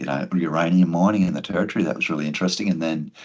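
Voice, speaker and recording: Very deep, low speech from a man with an Australian accent, monotone with flat intonation. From Queensland, Australia (Gladstone). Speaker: podcast host and public speaker. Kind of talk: podcast interview.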